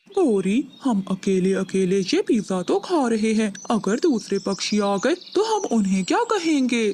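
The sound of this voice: Using a cartoonish character voice that sounds female and fairly high, the speaker goes at a fairly slow pace with hardly any pauses over clear background noise.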